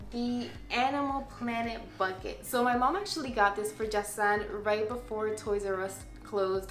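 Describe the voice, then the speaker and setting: A woman with a Spanish accent talks at a moderate pace. Her fairly high pitch shows ordinary variation over noticeable background noise. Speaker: parenting vlogger. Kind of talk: casual product review video.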